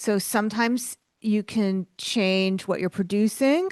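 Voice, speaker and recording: Against a quiet background, a woman with a New York accent is heard in a dry, close sound with no echo. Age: 50s. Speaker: author and art business coach. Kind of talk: podcast interview.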